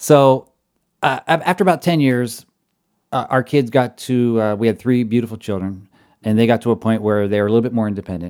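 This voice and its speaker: This is a man with a plain, everyday voice and ordinary pitch variation. The recording is very clean, with a silent background. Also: medium pitch for a man, fairly quick pace. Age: 40s. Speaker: jazz arranger and band director. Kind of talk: casual interview.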